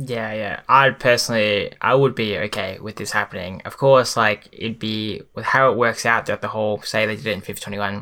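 A man with an Australian accent speaks quickly enough, his fairly low voice carrying a bright, sharp tone at a fairly quick pace. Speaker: pro FIFA player. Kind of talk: casual chat. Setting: video call.

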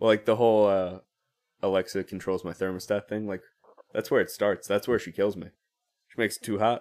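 Speech in an American accent comes at a fairly quick pace with monotone, flat intonation and long, frequent pauses. The recording is very clean, with a silent background. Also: man, fairly low pitch for a man. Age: 20s. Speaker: trumpet player in a polka band. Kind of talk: casual chat. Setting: studio. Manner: nervous, halting.

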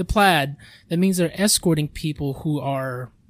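A somewhat breathy man's voice of fairly high pitch, fairly slow pace and ordinary pitch variation. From Filipino-American background. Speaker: podcast host. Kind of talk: casual chat.

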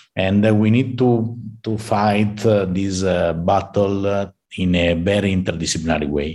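A man's fairly low, dark, mellow voice moves at a fairly slow pace with fairly even intonation. The recording is very clean, with a silent background. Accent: Italian. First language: Italian. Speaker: computer science professor. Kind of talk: interview. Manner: halting.

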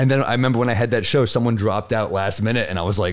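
A man with an American accent at a medium pitch and a very fast pace, with ordinary pitch variation. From New York. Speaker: comedian. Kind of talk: casual chat.

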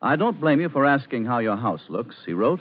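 With vocal fry and lively intonation, a man speaks at a fairly quick pace. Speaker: radio commercial announcer. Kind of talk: sales pitch, scripted advertisement. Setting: old radio broadcast. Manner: smooth, friendly, formal.

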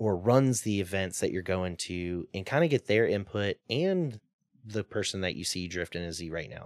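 In an American accent, a man with a normal speaking voice talks at a moderate pace, fairly low in pitch, with lively intonation against a quiet background. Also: dry, close sound with no echo. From US Mississippi Gulf Coast. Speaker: drift company owner. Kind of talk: casual chat.

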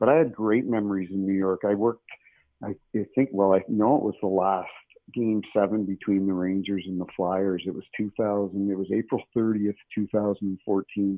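Fairly low in pitch, a man with a Canadian accent and an ordinary speaking voice talks at a moderate pace with fairly even intonation. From small-town Canada. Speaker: retired hockey referee. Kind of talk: interview.

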